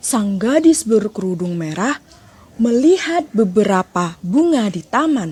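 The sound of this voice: The speaker uses an unforced reading voice.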